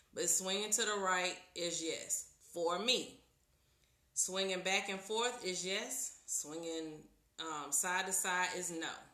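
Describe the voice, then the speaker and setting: A woman's loud voice carries audible room echo. Her pitch is medium and her intonation fairly even. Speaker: tarot reader. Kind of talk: live stream tutorial. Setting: live video stream.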